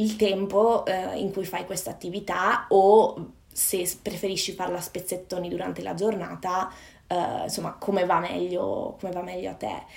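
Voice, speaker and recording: Room echo is audible around a woman's medium-pitched voice. Her loudness swings widely. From northern Italy, Padova (Veneto). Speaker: personal development coach. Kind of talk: casual interview chat. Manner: halting.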